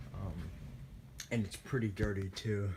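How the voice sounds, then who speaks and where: Somewhat breathy, a man speaks with a fairly low pitch. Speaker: ceiling fan collector. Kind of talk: casual ceiling fan demo to camera. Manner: sluggish.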